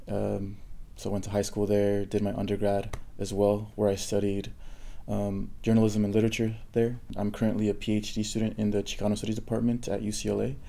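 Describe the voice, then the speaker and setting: A man with a Spanish accent speaks at a fairly quick pace in a fairly low pitch and a dark, mellow tone. His intonation is monotone and flat, with audible room echo. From Southern California (Orange County) and Texas. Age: 30s. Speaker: PhD student and lecturer in Chicano studies. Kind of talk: interview. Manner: hesitant, with many fillers.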